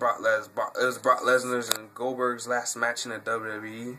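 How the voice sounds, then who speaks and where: Over noticeable background noise, a man with an American accent speaks at a fairly slow pace. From New York City, Brooklyn. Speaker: YouTuber, wrestling fan. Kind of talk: Q&A video monologue. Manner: halting, many fillers.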